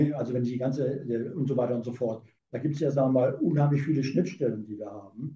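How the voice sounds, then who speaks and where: The voice has a dark, mellow tone, sounds somewhat breathy, and shows ordinary pitch variation. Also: man. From Saarland, Germany. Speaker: physicist and company director. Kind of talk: interview.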